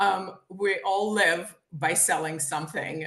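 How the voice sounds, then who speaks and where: A woman speaks at a medium pitch with a Ukrainian accent. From Ukraine, Kyiv. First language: Ukrainian or Russian. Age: 50s. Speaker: author and sales trainer. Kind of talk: interview. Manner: animated.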